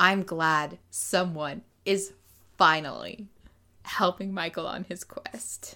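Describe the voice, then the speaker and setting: A woman's bright, sharp voice at a fairly low pitch, very slow pace and fairly even intonation, with big swings in loudness and long, frequent pauses. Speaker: podcast co-host. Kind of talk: casual chat. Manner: talkative.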